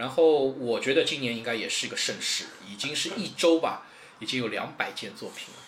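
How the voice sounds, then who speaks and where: The speech moves at a fairly quick pace. Noticeable background noise and audible room echo sit behind it. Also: man. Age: 30s. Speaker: model contest organizer. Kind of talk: casual interview chat.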